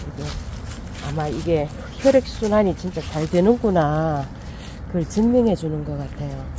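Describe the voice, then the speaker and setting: A woman takes a fairly slow pace while noticeable background noise runs underneath. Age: 50s. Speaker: interviewee. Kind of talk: interview.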